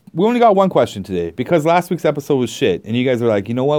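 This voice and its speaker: With a Canadian accent, this man has a fairly high pitch and a dark, mellow tone. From Canada. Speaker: podcast host. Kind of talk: casual solo vlog-style chat. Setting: library. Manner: animated, laughing often.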